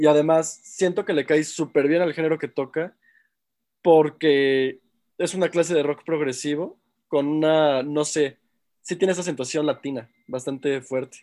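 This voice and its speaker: A very clean recording with a silent background, a man's fairly high pitch in a dark, mellow tone with fairly even intonation. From Mexico. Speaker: music production student. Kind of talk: casual chat.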